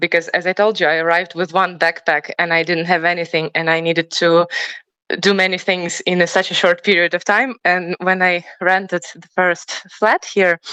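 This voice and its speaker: In a Ukrainian accent, a woman speaks with a monotone, flat intonation and a fairly low pitch. Her tone is bright and sharp, and the sound is dry and close with no echo. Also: moderate pace. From Ukraine. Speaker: professional choir singer. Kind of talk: interview. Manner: halting.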